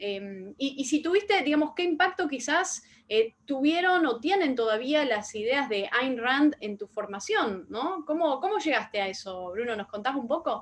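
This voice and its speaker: A woman with a Rioplatense accent speaks at a high pitch and fairly slow pace, with very wide pitch swings and hardly any pauses. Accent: Argentine Spanish (rioplatense). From Argentina. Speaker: interviewer, online talk show host. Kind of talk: interview. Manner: hesitant, many fillers.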